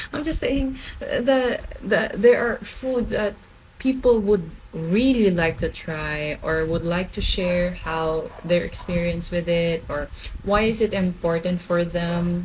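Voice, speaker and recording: A woman speaks at a very slow pace and medium pitch with lively intonation. Noticeable background noise runs behind her. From Philippines (Bicol). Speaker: food vlogger. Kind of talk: casual vlog talk to camera. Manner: stutters and repeats words when excited; animated.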